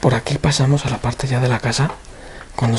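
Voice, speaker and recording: A soft-spoken voice at a very fast pace, with fairly even intonation and noticeable background noise. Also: man. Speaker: urban explorer video creator. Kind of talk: walkthrough narration. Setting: indoors in abandoned house.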